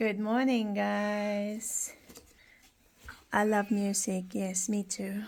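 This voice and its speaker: Amid audible room echo, a woman with a Filipino accent speaks very slowly in a medium pitch, monotone and flat, with long, frequent pauses. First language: Filipino language. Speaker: vlogger mother. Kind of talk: casual family vlog.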